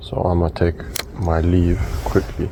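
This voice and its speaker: Quiet and very deep, a man's low voice shows ordinary pitch variation against noticeable background noise. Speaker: fishing vlogger. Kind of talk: casual vlog commentary. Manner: quiet, low tone.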